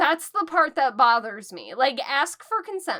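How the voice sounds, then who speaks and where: Raising and projecting her high voice, a woman speaks fairly slowly in a bright, sharp tone with very wide pitch swings. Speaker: book reviewer. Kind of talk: casual chat. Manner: not loud.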